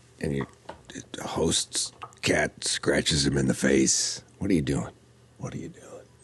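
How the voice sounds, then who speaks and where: A man talks at a fairly slow pace, leaving long, frequent pauses, while noticeable background noise plays behind him. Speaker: tabletop gaming YouTuber and podcaster. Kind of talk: casual vlog intro. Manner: halting.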